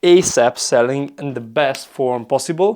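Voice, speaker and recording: A man's fairly high-pitched voice. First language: not English (English is third language). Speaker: sales coach and content creator. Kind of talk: casual tutorial to camera. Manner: halting, with fillers.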